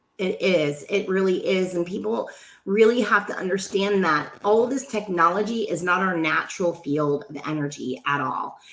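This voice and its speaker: Noticeable background noise runs under a woman speaking at a moderate pace, her tone animated and her intonation lively. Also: medium pitch for a woman. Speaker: radio host. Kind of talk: casual chat.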